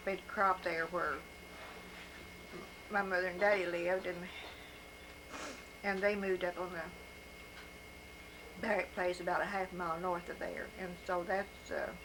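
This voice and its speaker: Flat, monotone intonation runs at a moderate pace, broken by long, frequent pauses. Background noise is noticeable. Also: woman, medium pitch for a woman. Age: old. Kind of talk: life story told to family.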